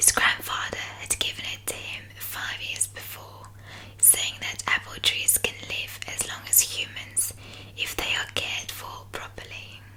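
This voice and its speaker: Whispering at a fairly slow pace, a woman uses a soothing tone with big swings in loudness, over noticeable background noise. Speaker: ASMR artist. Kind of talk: bedtime story reading. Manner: whispered, slow, soothing.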